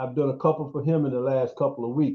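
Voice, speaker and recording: Somewhat breathy, the man talks at a fairly high pitch. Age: 60s. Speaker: housing inspector and developer. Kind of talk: video call discussion. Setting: video call. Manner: halting, many repetitions.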